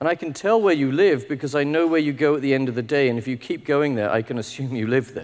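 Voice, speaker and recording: In a British accent, a man speaks at a very fast pace and a fairly high pitch, with hardly any pauses, against a quiet background. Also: ordinary pitch variation. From UK. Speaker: technology executive. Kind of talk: conference keynote talk. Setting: stage with audience. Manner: informal, humorous. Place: hall.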